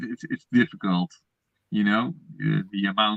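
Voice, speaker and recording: The man's pitch is fairly low, with ordinary variation. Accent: non-native. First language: not English. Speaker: Lego collector guest. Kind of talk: casual chat. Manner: halting.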